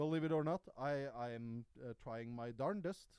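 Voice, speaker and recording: With no echo, a man's voice sounds dry and close. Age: 30s. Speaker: YouTuber and live streamer. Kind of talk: casual livestream chat. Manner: casual, halting with fillers.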